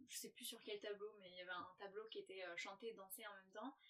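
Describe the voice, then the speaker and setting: A woman's fairly high voice with a bright, sharp tone at a moderate pace. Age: 20s. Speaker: holistic coach and former stage performer. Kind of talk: casual interview. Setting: in a caravan. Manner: halting.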